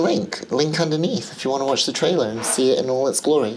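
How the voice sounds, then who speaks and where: Noticeable background noise runs beneath the voice. The woman's pitch varies in an ordinary way. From England and the Middle East. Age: 50s. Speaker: film director and vlogger. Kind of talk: casual vlog.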